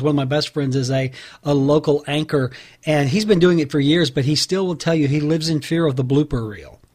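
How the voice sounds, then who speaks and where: At a very fast pace, a man with a fairly high voice talks in a somewhat breathy way with ordinary pitch variation. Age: 50s. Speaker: podcast host. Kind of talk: interview.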